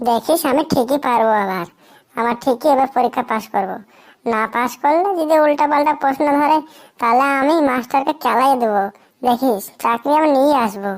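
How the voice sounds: A cartoonish character voice moves along at a moderate pace. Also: woman, high pitch for a woman.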